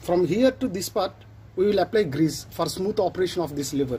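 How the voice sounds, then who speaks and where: With light background noise behind him, a man speaks at a moderate pace in a high pitch. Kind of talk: tutorial. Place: workshop. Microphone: phone near.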